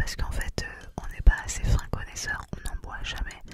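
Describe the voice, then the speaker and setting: Whispering and soft-spoken, a woman talks at a fairly quick pace in a dry sound with no echo, over loud background noise. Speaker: ASMR creator. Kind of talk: soft-spoken ASMR show-and-tell chat. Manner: close-mic soft whisper. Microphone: studio mic.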